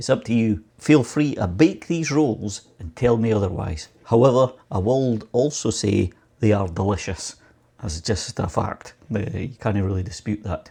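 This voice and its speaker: In a Scottish accent, a man talks at a fairly slow pace with a fairly low pitch, lively intonation, and a dark, mellow, somewhat breathy tone. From Scotland. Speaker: home baking youtuber. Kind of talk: casual chat and cooking tutorial. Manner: chatty, rambling with fillers.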